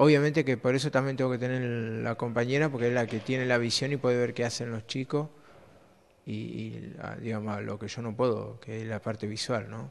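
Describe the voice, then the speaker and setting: With fairly even intonation, a man talks at a fairly quick pace. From Argentina, Río Negro (Cinco Saltos); Río Negro, Argentina. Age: 30s. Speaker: blind primary school teacher; schoolteacher. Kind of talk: interview; interview answer. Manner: halting, repeats words. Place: classroom. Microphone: handheld.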